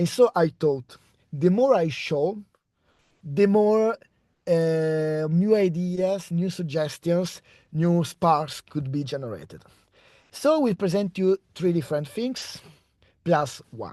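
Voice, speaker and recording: A very slow voice with an Italian accent, broken by long, frequent pauses. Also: man, high pitch for a man, ordinary pitch variation. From Italy. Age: 30s. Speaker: postdoctoral researcher. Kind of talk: research talk. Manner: halting.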